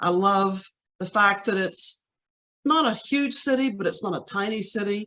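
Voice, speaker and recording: With an American accent, a woman talks at a moderate pace in a bright, sharp tone. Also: medium pitch for a woman, ordinary pitch variation. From West Virginia, Charleston. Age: 60s. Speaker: city council candidate. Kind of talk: interview.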